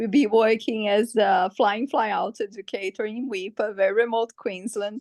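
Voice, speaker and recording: Recorded dry and close with no echo, a woman with a fairly high pitch speaks in a Portuguese accent. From Brazil. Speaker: webinar participant, educator. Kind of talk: webinar Q&A. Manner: halting.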